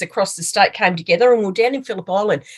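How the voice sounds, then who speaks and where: A woman with medium pitch speaks in an Australian accent. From Australia (Melbourne, Victoria). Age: 60s. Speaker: mindfulness practitioner and small business owner. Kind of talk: podcast interview. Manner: chatty.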